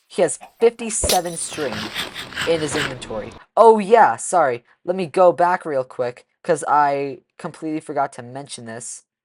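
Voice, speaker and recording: A woman speaks at a moderate pace in a very deep, low voice, with lively intonation and big swings in loudness, in a dry, close sound with no echo. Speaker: gaming YouTuber, speedrunner. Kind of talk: reaction commentary. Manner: stuttering, self-correcting; casual, conversational.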